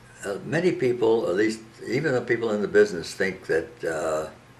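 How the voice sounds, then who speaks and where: A man speaks over noticeable background noise. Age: 90s. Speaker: elderly husband and caregiver. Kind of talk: personal appeal monologue. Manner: halting.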